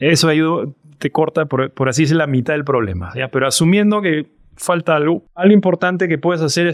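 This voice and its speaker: A man with a normal speaking voice, fairly quick pace and lively intonation, in a dry, close sound with no echo and a very clean recording with a silent background. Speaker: startup CEO and co-founder. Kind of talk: interview.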